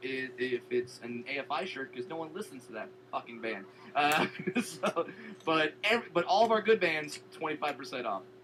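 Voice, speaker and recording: A man's voice with lively intonation amid noticeable background noise. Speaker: comedian. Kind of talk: improvised comedy sketch. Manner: halting, repeated false starts.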